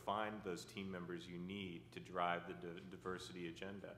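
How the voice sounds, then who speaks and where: This man speaks with a very deep, low pitch. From United States. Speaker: company CEO. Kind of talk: conference panel discussion. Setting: stage with audience.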